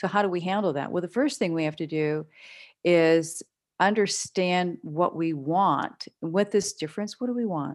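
A woman with an American accent has an unremarkable speaking voice, fairly low in pitch. She speaks at a moderate pace with ordinary pitch variation. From western Pennsylvania. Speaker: business broker and negotiation trainer. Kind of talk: interview. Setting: remote call.

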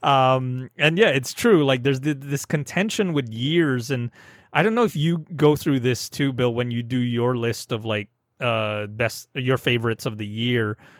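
An unremarkable speaking voice belongs to a man with a medium pitch. He keeps a moderate pace and ordinary pitch variation. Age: 30s. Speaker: film podcast host. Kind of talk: casual chat.

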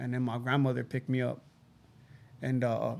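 This man speaks at a moderate pace in a medium pitch with vocal fry, a monotone, flat intonation and a slightly mellow tone.

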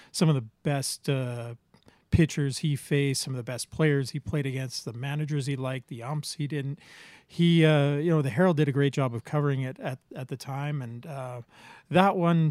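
On a very clean recording with a silent background and a dry, close sound with no echo, a man with an Albertan accent speaks at a moderate pace in a fairly high pitch with fairly even intonation. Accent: Canadian (Alberta). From Medicine Hat, Alberta, Canada. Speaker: podcast co-host. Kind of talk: casual chat. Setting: home basement.

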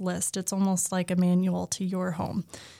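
Using a normal speaking voice, a woman with an American accent talks at a moderate pace. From Oklahoma. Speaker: painter and small business owner. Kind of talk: casual interview.

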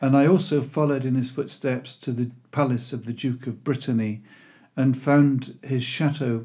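At a moderate pace, a man with a dark, mellow tone talks at a medium pitch with fairly even intonation. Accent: Welsh. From Wales (Pembrokeshire). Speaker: historical fiction author. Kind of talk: scripted narration.

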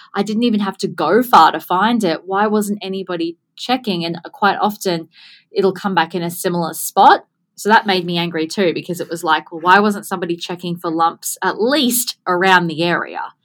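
A woman with an Australian accent speaks at a medium pitch on a very clean recording with a silent background. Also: ordinary pitch variation, moderate pace. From Gold Coast, Australia. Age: 30s. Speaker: business owner, podcaster, skin cancer advocate. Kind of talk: interview conversation.

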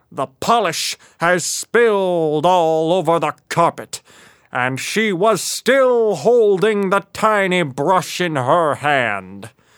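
A high-pitched man speaks at a very slow pace with lively intonation, recorded in a dry, close sound with no echo. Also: very clean recording, silent background. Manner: measured, quietly triumphant.

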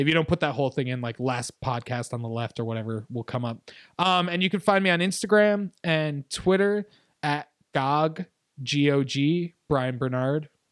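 A man with an ordinary speaking voice and an American accent speaks at a moderate pace with a fairly high pitch and lively intonation, in a dry, close sound with no echo and a very clean recording against a silent background. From upstate New York. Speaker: podcast guest. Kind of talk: casual chat.

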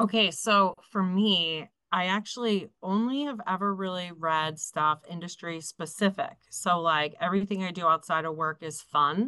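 Barely pausing, a woman speaks in a bright, sharp tone over a quiet background. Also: medium pitch for a woman, ordinary pitch variation, moderate pace. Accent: American. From Philadelphia. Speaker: insurance sales director. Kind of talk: casual chat.

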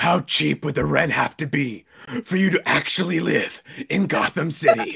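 Using a put-on character voice, a man talks at a moderate pace in a raspy, fairly high pitch. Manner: brooding, serious.

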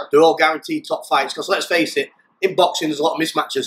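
Talking at a very fast pace, a man speaks with a South Yorkshire accent. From South Yorkshire, England (pit village near Doncaster). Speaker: ex-prisoner turned fighter. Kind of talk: interview.

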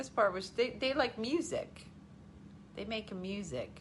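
The pitch swings very widely and the tone is animated. The pace is fairly slow, and the voice is somewhat breathy. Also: woman. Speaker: livestream host. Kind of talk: casual chat. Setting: home livestream.

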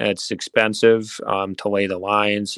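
A man with an Upper Midwest accent speaks in a fairly low pitch with monotone, flat intonation, the sound dry and close with no echo. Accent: Upper Midwest American. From central Wisconsin (Mosinee). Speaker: politician. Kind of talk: interview.

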